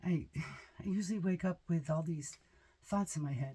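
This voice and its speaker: A somewhat breathy, dark, mellow tone with ordinary pitch variation at a moderate pace. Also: woman. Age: 60s. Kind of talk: casual talk to camera.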